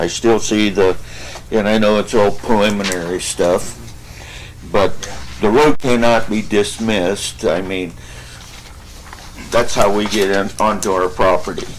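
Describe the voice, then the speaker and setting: Audible room echo surrounds a man whose fairly low voice moves at a fairly slow pace. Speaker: local landowner, public commenter. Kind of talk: public comment. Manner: loud.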